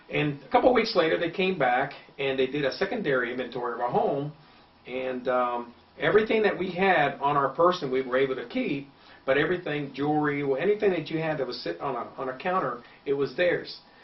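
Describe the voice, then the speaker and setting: A man talks at a fairly quick pace and a fairly high pitch. His intonation is lively, and there is noticeable background noise. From Cuba. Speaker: political candidate. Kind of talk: interview.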